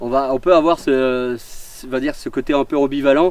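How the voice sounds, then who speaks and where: A man is speaking, and noticeable noise can be heard in the background. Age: 40s. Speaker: fireworks technician. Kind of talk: interview explaining his work on site. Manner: hesitant, many fillers.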